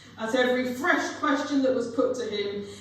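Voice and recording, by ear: Moderate pace and audible room echo. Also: woman, fairly high pitch for a woman, ordinary pitch variation.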